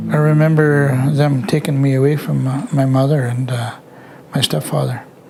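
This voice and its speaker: A man speaks at a fairly slow pace with a fairly high pitch and fairly even intonation, over noticeable background noise. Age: 60s. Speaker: residential school survivor. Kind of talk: testimony. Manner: halting.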